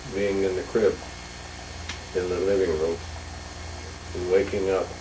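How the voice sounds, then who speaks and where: A man with an American accent, fairly low in pitch with ordinary pitch variation, amid noticeable background noise and audible room echo. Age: 70s. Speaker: grandfather telling his life story. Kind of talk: oral history interview.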